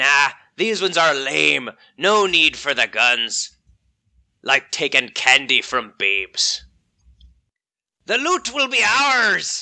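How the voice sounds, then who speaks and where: A man's put-on character voice, gruff and high-pitched, at a fairly slow pace against a quiet background. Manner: jeering, swaggering.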